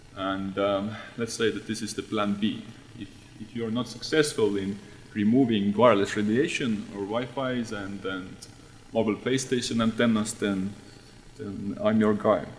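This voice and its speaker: In audible room echo, a man with an Estonian accent speaks at a fairly low pitch with fairly even intonation. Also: moderate pace. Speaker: radiation researcher. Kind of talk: conference talk. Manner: halting.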